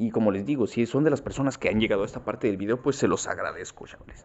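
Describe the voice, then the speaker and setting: The speaker has a Mexican accent and ordinary pitch variation. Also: man. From Mexico. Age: 20s. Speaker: gaming youtuber. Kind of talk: gameplay commentary. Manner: casual, improvised.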